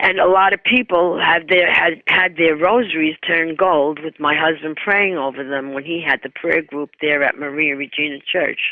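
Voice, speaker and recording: A woman speaks at a moderate pace with hardly any pauses, her pitch very deep and low, with ordinary variation. Noticeable background noise runs underneath. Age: 80s+. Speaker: evangelist. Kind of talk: interview.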